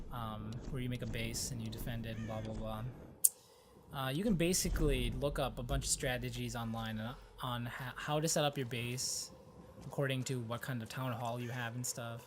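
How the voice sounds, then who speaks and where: Someone mumbles at a moderate pace, with audible room echo. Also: man. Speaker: gaming commentator. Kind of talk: let's play commentary. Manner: mumbling.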